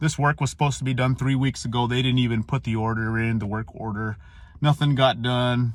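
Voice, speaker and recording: This man talks at a fairly quick pace in a medium pitch with fairly even intonation. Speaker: Marine veteran. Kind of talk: casual monologue.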